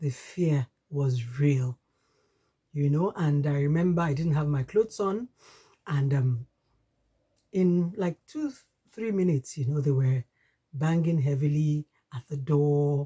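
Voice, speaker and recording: A woman's somewhat breathy, dark, mellow voice at a very deep, low pitch, with a Nigerian accent, a fairly slow pace and long, frequent pauses, in a dry, close sound with no echo. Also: ordinary pitch variation. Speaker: podcast host. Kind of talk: personal testimony.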